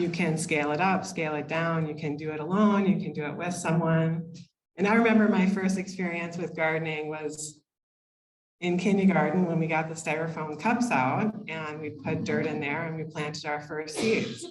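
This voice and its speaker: Delivered at a moderate pace with fairly even intonation, the voice carries audible room echo. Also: woman, fairly low pitch for a woman. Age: 50s. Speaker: occupational therapist. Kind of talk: lecture. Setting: room with live audience, microphone.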